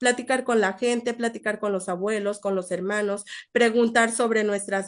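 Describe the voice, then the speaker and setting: Moderate pace and ordinary pitch variation with a Mexican accent, over a quiet background. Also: woman. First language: Nahuatl (speaking Spanish). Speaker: invited speaker, researcher. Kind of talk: online seminar talk, Q&A answer. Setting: live-streamed online seminar. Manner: halting, many fillers and repetitions.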